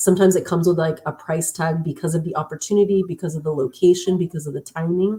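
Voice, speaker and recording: A woman with an American accent talks at a very fast pace in a dark, mellow, somewhat breathy tone with fairly even intonation. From Los Angeles, Southern California. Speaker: tech worker, guest speaker. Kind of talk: interview, personal story.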